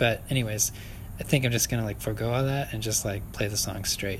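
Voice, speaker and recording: At a fairly quick pace, a man with fairly low pitch speaks in fairly even intonation amid audible room echo. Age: 30s. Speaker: podcaster. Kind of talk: solo outdoor ramble. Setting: outdoors at a park picnic shelter. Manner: halting, many fillers and laughs.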